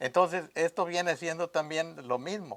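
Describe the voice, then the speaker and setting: A man speaks fairly slowly at a high pitch. The sound is dry and close, with no echo. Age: 80s+. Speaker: veteran radio announcer. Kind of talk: interview. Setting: at his home.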